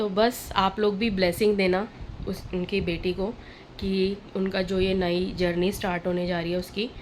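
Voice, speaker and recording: A woman's medium-pitched voice, flat and monotone, at a fairly slow pace. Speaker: vlogger. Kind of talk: casual vlog talk to camera.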